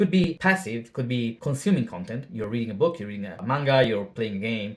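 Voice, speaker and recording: Speaking with a non-native accent, a man talks at a fairly quick pace and medium pitch, with lively intonation and big swings in loudness. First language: not English. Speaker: language learning YouTuber. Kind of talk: casual video monologue. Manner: casual with filler words.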